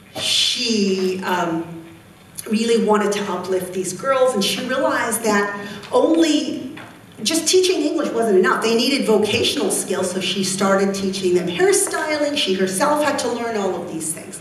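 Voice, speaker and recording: Her fairly high voice carries lively intonation as this woman speaks. Audible room echo and noticeable background noise surround her. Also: moderate pace. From Egypt (rural Nile Delta village). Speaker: youth leadership activist. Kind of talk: conference talk. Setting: conference stage with audience.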